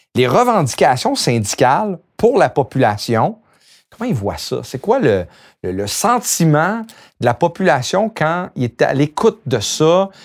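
Recorded very cleanly against a silent background, the voice moves at a fairly slow pace. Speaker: union podcast host. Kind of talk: interview.

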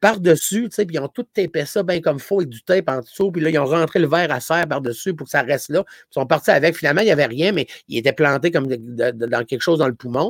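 A man with a fairly high voice races along at a very fast pace with hardly any pauses, lively intonation and big swings in loudness, in a dry, close sound with no echo. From Gaspésie, Quebec. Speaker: comedian. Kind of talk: casual chat.

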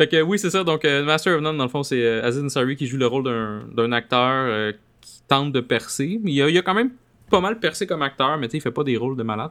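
With a Quebec accent, a man speaks at a fairly quick pace in a fairly high pitch. His intonation is lively, and his loudness swings widely. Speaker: podcast host. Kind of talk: casual chat.

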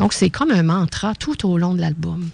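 A woman's somewhat breathy, fairly low voice with a Quebec accent, lively intonation and a moderate pace. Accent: Québécois French. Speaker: radio co-host and energy practitioner. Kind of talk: radio talk show. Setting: studio.

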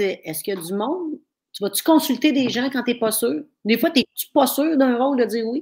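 A woman talks at a fairly quick clip with a high pitch and lively intonation. Her tone is animated, and her loudness swings widely. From Quebec, Thetford Mines area. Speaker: livestream talk show host. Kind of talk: casual interview. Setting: live stream at home.

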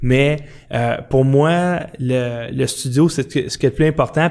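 A man speaks at a fairly high pitch. His pace is fairly slow and his intonation fairly even. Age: 50s. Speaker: podcast host. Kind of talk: casual chat. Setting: studio. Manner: soft-spoken.

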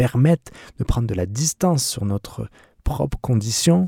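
A man speaks at medium pitch in a dark, mellow, somewhat breathy tone. The recording is very clean, with a silent background and a dry, close sound free of echo. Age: 30s. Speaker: podcast host, van-life traveller. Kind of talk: solo podcast monologue. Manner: halting, with fillers and repetitions.

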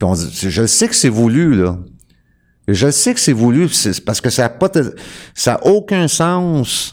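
In a very clean recording with a silent background, a man with a Quebec accent speaks at a very slow pace and medium pitch, with very wide pitch swings, very even loudness, and long, frequent pauses. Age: 50s. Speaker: sovereign-citizen style legal activist. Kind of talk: casual talk show explanation.

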